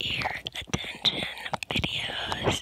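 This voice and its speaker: Loud background noise surrounds very slow speech in a dry sound with no echo. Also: woman. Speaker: ASMR creator. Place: home room. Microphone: lapel.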